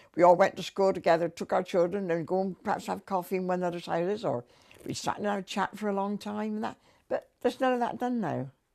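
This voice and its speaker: A woman with a West Country accent at a medium pitch and very fast pace, over a quiet background. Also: lively intonation. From Wiltshire, England. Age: 80s+. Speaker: elderly local resident. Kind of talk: interview reminiscence.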